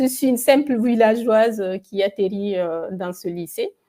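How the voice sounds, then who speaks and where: A woman talks fairly slowly, her pitch moving with ordinary variation. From Guinea. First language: a Guinean local language (speaking French). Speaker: tech entrepreneur. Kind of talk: interview. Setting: webinar video call.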